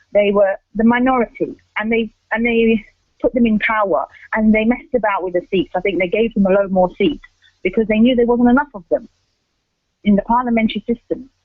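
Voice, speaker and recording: The speaker has an English accent and a fairly quick pace. Long, frequent pauses break up the speech. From England. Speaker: radio presenter. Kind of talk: radio commentary. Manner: halting.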